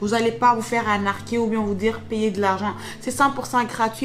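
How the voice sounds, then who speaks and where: A woman at a fairly quick pace and a fairly high pitch, with music in the background. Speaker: YouTuber giving job-search tips. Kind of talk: screen-share tutorial. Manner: fast; casual, filler-heavy.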